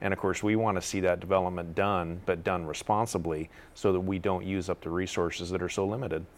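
Monotone, flat intonation at a very fast pace in a very clean recording with a silent background. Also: man, very deep, low pitch for a man, hardly any pauses. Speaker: panel guest on water issues. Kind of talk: panel discussion. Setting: TV studio.

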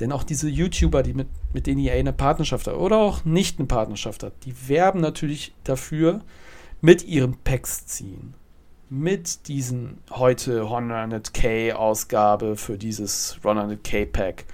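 A man of medium pitch speaks at a fairly slow pace, his intonation lively and his loudness swinging widely. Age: 30s. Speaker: podcast host. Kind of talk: solo football and gaming talk. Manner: casual, hesitant with fillers.

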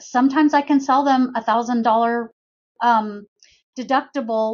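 A woman's fairly high voice with an American accent and fairly even intonation. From US West Coast. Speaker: insurance agent. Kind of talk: interview.

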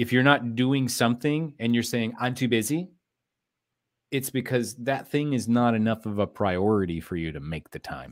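Using an ordinary speaking voice, a man talks at a medium pitch and moderate pace with lively intonation. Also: very clean recording, silent background. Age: 40s. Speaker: business consultant and entrepreneur. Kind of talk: interview.

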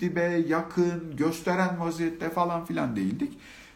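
Audible room echo surrounds a man speaking in a high pitch at a moderate pace. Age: 40s. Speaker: live-stream speaker on self-love. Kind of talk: live-stream talk. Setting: live stream with comments.

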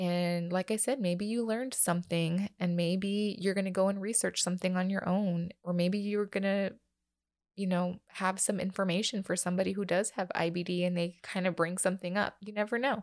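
The intonation stays fairly even at a fairly quick pace. The recording is very clean, with a silent background. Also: woman, medium pitch for a woman. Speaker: podcast host, mother of a child with IBD. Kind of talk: personal monologue. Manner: casual, filler-heavy; voice getting shaky.

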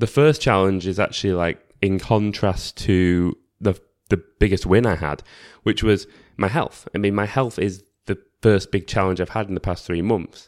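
In an unremarkable speaking voice, a man talks at a moderate pace, fairly low in pitch with fairly even intonation, on a very clean recording with a silent background. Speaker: podcaster. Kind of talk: solo reflective monologue. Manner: casual, conversational.

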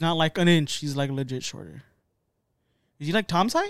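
Dry and close with no echo, a man's voice comes at a fairly high pitch and fairly quick pace. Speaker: podcast co-host and streamer. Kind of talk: casual chat. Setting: online stream. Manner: casual, joking, profane.

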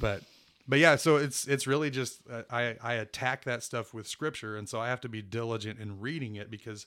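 At a moderate pace and medium pitch, a man with an American accent and an unremarkable speaking voice talks with fairly even intonation on a very clean recording with a silent background. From Kansas and Houston, Texas. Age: 40. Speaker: church minister. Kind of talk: casual interview.

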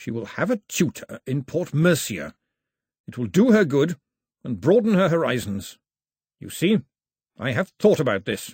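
A man does a shaky, put-on character voice at a fairly high pitch with very wide pitch swings. He keeps a moderate pace with long, frequent pauses.

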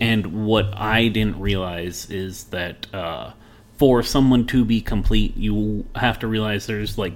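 With an American accent, a man with a fairly low voice talks at a very slow pace, his pitch moving in an ordinary way amid audible room echo. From Las Vegas, Nevada. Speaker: IT worker. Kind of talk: casual chat.

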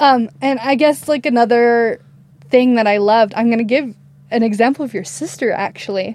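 A woman with an American accent speaks at a moderate pace in a fairly high pitch. It is a plain, everyday voice. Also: lively intonation. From Idaho, US. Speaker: wedding videographer. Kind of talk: casual interview.

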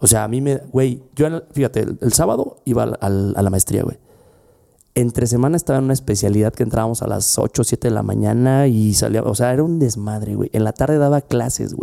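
A man with a Mexican accent speaks fairly quickly in a medium-pitched voice with a dark, mellow tone and ordinary pitch variation. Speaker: podcast host, lawyer and former law professor. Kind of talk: casual chat.

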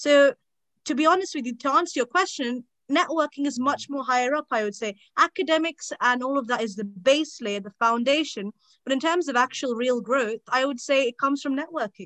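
In a British accent, a woman speaks high and bright with a sharp tone, ordinary pitch variation and a fairly quick pace, in a dry, close sound with no echo. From England. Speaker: law student. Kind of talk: casual chat.

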